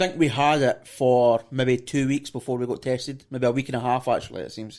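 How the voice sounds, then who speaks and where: A man with a Scottish accent talks at a fairly quick pace, his intonation fairly even. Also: medium pitch for a man. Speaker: podcast host. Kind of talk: casual interview.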